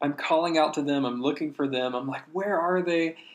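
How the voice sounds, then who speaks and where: A man speaks with an American accent. His intonation stays fairly even. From US South, North Carolina. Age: 20s. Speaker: worship musician and ministry staff. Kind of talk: testimony. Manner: hesitant, many fillers.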